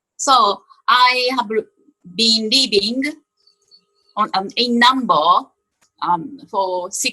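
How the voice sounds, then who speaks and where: A woman with a Japanese accent speaks very slowly in a bright, sharp tone, her fairly high pitch varying in an ordinary way between long, frequent pauses. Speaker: panelist. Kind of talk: self-introduction. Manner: halting.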